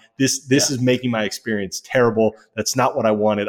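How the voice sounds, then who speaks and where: A man at a very fast pace, medium-pitched, with fairly even intonation and a dry, close sound with no echo. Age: 30s. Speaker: podcast co-host. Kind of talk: casual chat.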